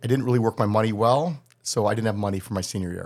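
A man talks at a very fast pace with an American accent. His pitch varies in an ordinary way. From US Midwest, Chicago north suburbs. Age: 60s. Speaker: criminal defense attorney. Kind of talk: casual interview.

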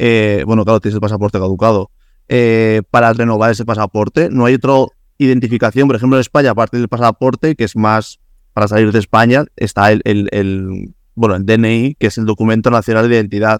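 This man talks at a fairly quick pace in a Spanish accent. His pitch is medium and his intonation fairly even. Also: dry, close sound with no echo. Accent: Peninsular Spanish. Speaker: podcast host. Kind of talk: casual interview chat.

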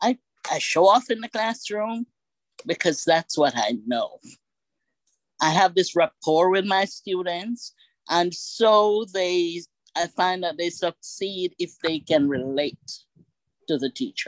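Very slow, with long, frequent pauses, a woman speaks at a medium pitch with lively intonation in a dry, close sound with no echo. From Jamaica. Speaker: teacher and author. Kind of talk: testimony.

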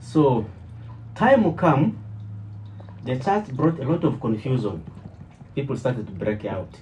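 Amid noticeable background noise, a man at medium pitch talks at a fairly slow pace with very wide pitch swings and long, frequent pauses. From DR Congo (Kinshasa). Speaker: church member and former preacher. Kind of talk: testimony. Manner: halting.

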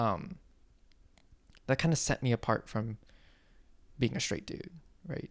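Using lively intonation, a man speaks at a fairly slow pace in a medium pitch, with long, frequent pauses. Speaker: podcast host. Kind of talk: solo podcast rant, casual. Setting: late night, home recording. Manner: casual, rambling, filler words.

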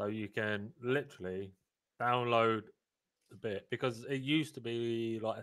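A man with a normal speaking voice, medium pitch, fairly even intonation and a fairly slow pace. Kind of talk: casual live panel discussion. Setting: live stream, online.

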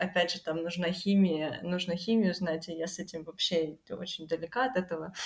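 A woman at a medium pitch speaks at a moderate pace with fairly even intonation in a normal speaking voice. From Ukraine, Kryvyi Rih. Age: 20s. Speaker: university dropout sharing life experience. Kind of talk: casual interview.

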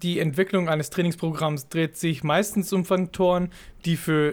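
In a very clean recording with a silent background, a man speaks at a high pitch. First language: not German (speaking German). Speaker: fitness podcast co-host, fitness trainer. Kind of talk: casual chat. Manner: halting, many fillers.

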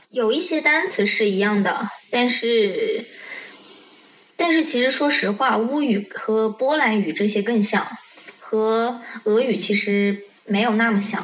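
A woman speaks very slowly at a fairly high pitch, with very even loudness. Noticeable background noise runs underneath. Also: lively intonation. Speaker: Russian language student. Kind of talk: casual chat. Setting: video call.

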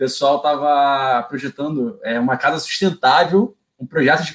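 Pitch varies in an ordinary way here. The voice belongs to a man. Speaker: automation engineer. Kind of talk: casual live stream chat. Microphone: echo on the stream.

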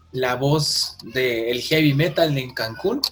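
A man with a Mexican accent and a fairly high pitch, with music in the background. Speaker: podcast host. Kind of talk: casual chat. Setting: video call.

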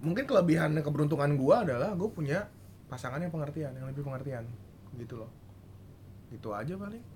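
A man talks at a very fast pace with lively intonation, big swings in loudness, and long, frequent pauses. Noticeable background noise and audible room echo fill the recording. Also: fairly high pitch for a man. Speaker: podcast host. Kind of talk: casual chat.

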